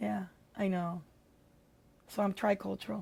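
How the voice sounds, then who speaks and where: A dark, mellow, somewhat breathy tone at a moderate pace. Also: woman. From Orange County, California. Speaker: retired librarian. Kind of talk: interview.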